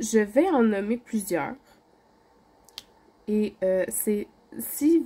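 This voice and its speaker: A woman speaks with a dark, mellow tone at medium pitch, somewhat breathy. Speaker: craft YouTuber. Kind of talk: casual vlog.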